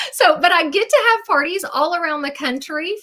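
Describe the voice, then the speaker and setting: A woman with a Southern US accent speaks in a raised, projected voice, her tone bright, sharp and animated and her intonation lively. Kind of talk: sales presentation. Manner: chatty, animated.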